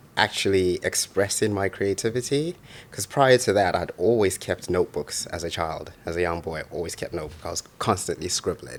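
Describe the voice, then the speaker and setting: A man with a fairly low voice talks at a fairly quick pace with hardly any pauses and ordinary pitch variation. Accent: Birmingham. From Zimbabwe, moved to Birmingham at fifteen. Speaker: poet and author. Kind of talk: interview. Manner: halting, many fillers and repetitions.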